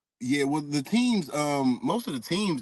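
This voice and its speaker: Against noticeable background noise, a man speaks at a moderate pace in a relaxed tone with ordinary pitch variation. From US South, Stone Mountain, Georgia. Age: 30s. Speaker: former pro basketball player, expat. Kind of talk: interview. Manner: casual, relaxed with many fillers.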